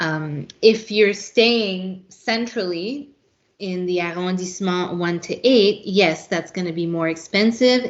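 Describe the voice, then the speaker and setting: A very slow woman's voice with a French accent and ordinary pitch variation. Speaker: travel consultant. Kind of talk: casual podcast interview.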